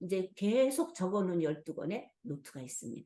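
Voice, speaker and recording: At a moderate pace, a woman speaks in a dark, mellow tone with very wide pitch swings. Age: 70s. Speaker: pastor. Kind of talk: testimony.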